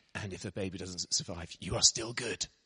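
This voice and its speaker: A man with an English accent at a very fast pace, dry and close with no echo. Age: 40s. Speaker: missionary preacher. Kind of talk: sermon. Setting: church.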